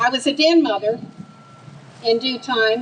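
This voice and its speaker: Over noticeable background noise, a woman speaks with an American accent at a high pitch and ordinary pitch variation. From US South, Atlanta. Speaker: grassroots political activist. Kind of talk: rally speech. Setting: outdoor rally stage with crowd. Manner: animated.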